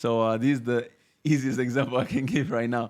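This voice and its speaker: A man with a Spanish accent at a medium pitch, fairly even in intonation and fairly quick in pace. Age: 30s. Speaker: Arabic teacher. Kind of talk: podcast interview. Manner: halting.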